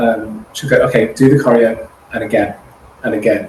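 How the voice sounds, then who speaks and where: A man's fairly quick speech amid noticeable background noise. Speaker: actor and singer. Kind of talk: interview answer.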